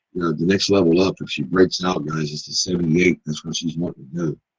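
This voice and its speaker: At a moderate pace, a man speaks with a very deep, low pitch and fairly even intonation, the sound dry and close with no echo. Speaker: trading room host. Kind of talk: live trading commentary. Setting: live stream. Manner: casual, filler-heavy.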